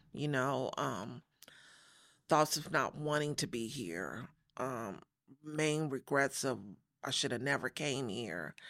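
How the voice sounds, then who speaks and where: Very clean and silent in the background, this recording has a woman talking at a very slow pace with long, frequent pauses. Her pitch is very deep and low, with vocal fry. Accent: American. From Los Angeles, after early childhood in Chicago. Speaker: church member sharing faith story. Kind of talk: testimony. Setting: studio.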